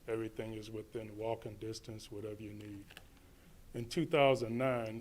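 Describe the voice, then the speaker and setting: This man talks at a moderate pace and medium pitch, his loudness swinging widely while his intonation stays fairly even. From western Michigan (Holland), born in Detroit. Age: 60s. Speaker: resident public commenter. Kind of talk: public comment speech. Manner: halting.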